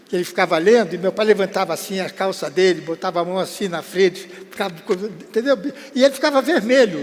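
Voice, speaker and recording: Noticeable background noise is present throughout. Over it, the words come at a very fast pace. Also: man, high pitch for a man, ordinary pitch variation. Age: 80s+. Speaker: veteran entertainer. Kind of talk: interview storytelling. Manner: casual, halting.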